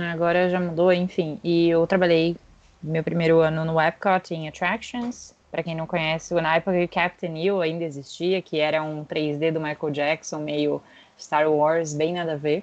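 A woman with a fairly low pitch speaks at a moderate pace. Her intonation is monotone and flat. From Brazil, São Paulo city. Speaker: podcast co-host, corporate concierge. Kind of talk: casual chat.

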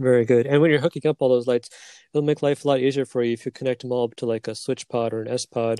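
A man talks at a very fast pace in a monotone with flat intonation. His pitch is medium. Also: quiet background. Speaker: podcast host. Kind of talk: casual chat.

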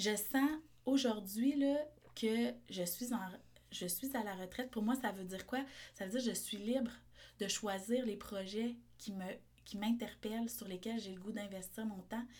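Fairly slow, somewhat breathy delivery with long, frequent pauses and fairly even intonation. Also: woman, fairly high pitch for a woman. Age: 30s. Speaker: entrepreneur and osteopath. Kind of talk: casual interview.

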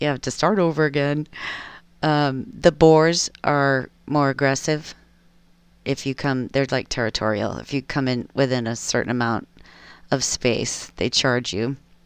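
A woman's very deep, low voice at a fairly slow pace with ordinary pitch variation, on a very clean recording with a silent background. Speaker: solo podcaster. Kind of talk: casual monologue. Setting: at home. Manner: laughs often.

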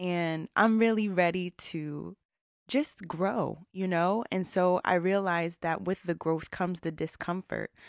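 On a very clean recording with a silent background and a dry, close sound with no echo, a woman with an American accent and a fairly low pitch speaks at a fairly slow pace with fairly even intonation. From US, Northern Virginia (DC area). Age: 20s. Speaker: podcast host. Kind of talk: solo monologue, casual reflective talk.

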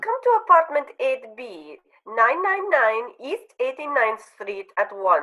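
A woman uses a put-on character voice with a bright, sharp tone. Her fairly high pitch makes big pitch swings at a fairly slow pace.

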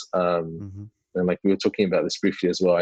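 A man talks with a British accent. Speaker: YouTuber. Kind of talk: casual interview.

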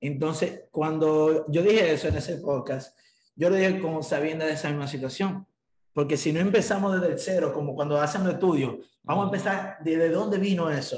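Fairly high-pitched man with a plain, everyday voice and ordinary pitch variation. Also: fairly quick pace. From Dominican Republic. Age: 20s. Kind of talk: interview conversation.

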